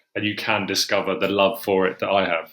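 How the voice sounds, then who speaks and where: Speaking with an English accent, a man uses a fairly low voice with a bright, sharp tone. His intonation stays flat and monotone. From England. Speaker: horror writer. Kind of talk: interview conversation. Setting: podcast. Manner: casual, filler-heavy.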